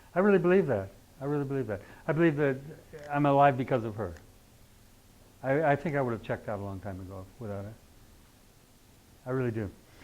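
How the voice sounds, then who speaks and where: A man speaks at a very fast pace, broken by long, frequent pauses. Room echo is audible. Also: medium pitch for a man, lively intonation. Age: 70s. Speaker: astrology teacher. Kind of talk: lecture. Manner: animated.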